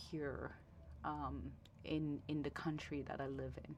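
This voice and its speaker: A woman speaks with a Vietnamese accent. Her pace is moderate. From Vietnam, Ho Chi Minh City, then Toronto from age ten. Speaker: lawyer. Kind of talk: interview conversation. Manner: halting, many fillers and repetitions.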